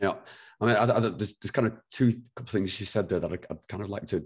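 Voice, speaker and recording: In a very clean recording with a silent background, a somewhat breathy man talks at a very fast pace and fairly low pitch. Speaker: podcast host. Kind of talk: casual interview conversation.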